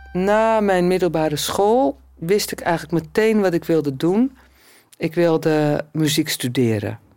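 A woman's fairly low-pitched voice with lively intonation, a fairly slow pace and very even loudness, over music in the background. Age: 50s. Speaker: blind musician and choir conductor. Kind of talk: casual interview talk.

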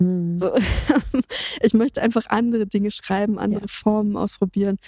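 A woman's somewhat breathy, dark, mellow voice at a medium pitch moves at a fairly quick pace, recorded dry and close with no echo. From Berlin, Germany. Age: 30s. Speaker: music journalist and radio presenter. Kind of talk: casual interview.

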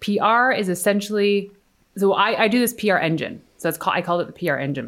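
In a plain, everyday voice, a woman talks at a fairly quick pace. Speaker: PR expert and entrepreneur. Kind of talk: casual interview chat.

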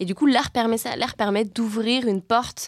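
Recorded very cleanly against a silent background with a dry, close sound and no echo, a woman with an unremarkable speaking voice speaks at a fairly high pitch, with ordinary pitch variation and a moderate pace. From France, Savoie. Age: 20s. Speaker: climate activist. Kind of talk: casual chat.

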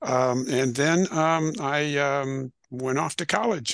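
A man with an American accent speaks in a normal speaking voice, pitched fairly high, with ordinary pitch variation and a dry, close sound with no echo. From US Midwest, northern Illinois. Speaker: retired addiction counselor and author. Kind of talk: interview.

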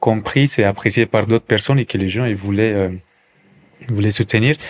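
In a dry, close sound with no echo, a man with a Colombian accent speaks with fairly even intonation. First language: Spanish (speaking French). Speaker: café entrepreneur. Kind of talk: testimony. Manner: halting, with repetitions and fillers.

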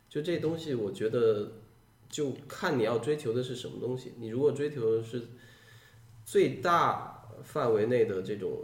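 The pitch varies in an ordinary way, with room echo clearly audible. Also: man. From Guangdong, Shantou. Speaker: science fiction writer. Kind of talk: podcast conversation.

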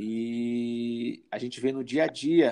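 His voice sits at a medium pitch for a man. The tone comes across dark and mellow. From Brazil, São Luís, Maranhão. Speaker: psychologist. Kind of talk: interview.

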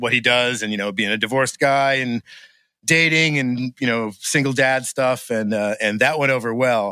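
A man with an American accent talks at a moderate pace in a medium pitch and a bright, sharp tone, on a very clean recording with a silent background and a dry, close sound with no echo. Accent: faint New England, stronger when drinking. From Maine, US (Gardiner area). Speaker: drummer and recording engineer. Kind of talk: casual interview chat.

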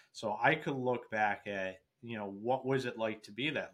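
With an American accent, a man speaks fairly slowly with ordinary pitch variation in an unremarkable speaking voice. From Ohio, US Midwest. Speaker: construction software founder and Marine veteran. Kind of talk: interview. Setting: video call.

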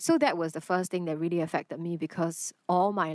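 On a very clean recording with a silent background and a dry, close sound with no echo, a woman with a Chinese accent speaks at a moderate pace, fairly low in pitch, in a monotone, flat intonation. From Singapore. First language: Mandarin Chinese. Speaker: actor. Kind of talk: interview conversation.

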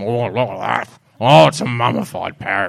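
Put-on character voice from a man, fairly low in pitch, at a moderate pace. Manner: mock pirate.

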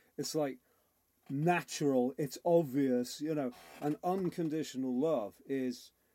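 Speaking with a Liverpool accent, a man with a fairly high pitch, a dark, mellow tone and ordinary pitch variation talks at a fairly slow pace on a very clean recording with a silent background. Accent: Scouse. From Liverpool, England. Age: 50s. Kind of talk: interview.

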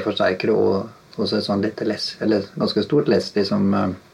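A man speaking at a moderate pace. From Norway, Halden. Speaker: guitarist and session musician. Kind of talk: casual interview. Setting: home studio.

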